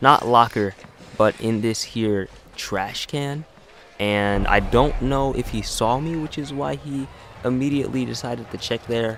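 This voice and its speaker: Over noticeable background noise, a man's words come at a fairly slow pace. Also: medium pitch for a man, ordinary pitch variation. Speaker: gaming YouTuber. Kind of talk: gameplay commentary. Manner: loud.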